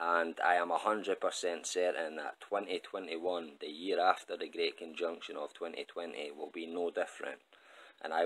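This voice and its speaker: This man has a Scottish accent. He speaks at a fairly slow pace. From Scotland. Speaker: astrology YouTuber. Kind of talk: solo video monologue.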